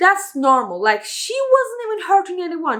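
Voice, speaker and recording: A woman talks in an animated tone, her pitch swinging very widely. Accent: non-native. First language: not English. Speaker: video reviewer. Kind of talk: casual review monologue. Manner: halting.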